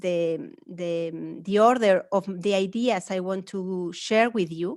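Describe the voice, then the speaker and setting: A woman speaks in a strong Spanish accent. Her intonation is lively. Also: quiet background. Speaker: academic speaker. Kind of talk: lecture. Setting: webinar.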